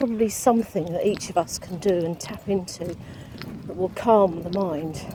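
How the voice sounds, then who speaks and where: The delivery moves at a fairly slow pace. Noticeable background noise runs underneath. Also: woman. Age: 60s. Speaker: vlogger living with dystonia. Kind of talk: casual personal vlog. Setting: outdoors on a walk. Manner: hesitant, many fillers.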